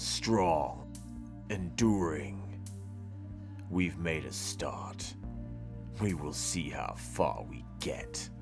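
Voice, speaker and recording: A man puts on a character voice, very deep and low in pitch. He speaks at a very slow pace over loud music in the background. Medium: read story. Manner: stern, clipped, authoritative.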